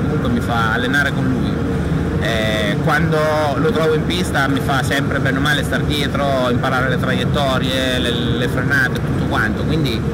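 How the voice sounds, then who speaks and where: A man keeps a moderate pace while loud background noise goes on around him. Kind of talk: interview answer. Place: hall. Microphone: phone near.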